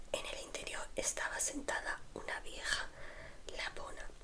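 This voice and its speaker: A woman whispers at a very slow pace with noticeable background noise around her. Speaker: ASMR creator. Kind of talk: read story. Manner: whispered.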